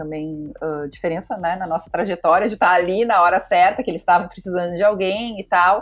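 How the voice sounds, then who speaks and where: A woman speaks in an unremarkable speaking voice, fairly low in pitch. Her pitch varies in an ordinary way. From southern Brazil, Pelotas (Rio Grande do Sul). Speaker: design studio director. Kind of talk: interview. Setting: studio.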